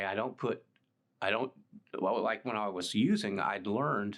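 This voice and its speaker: A man with a Texan accent speaks at a moderate pace. The background is quiet. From Texas, Dallas area. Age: 60s. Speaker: recovering addict. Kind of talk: testimony. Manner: halting.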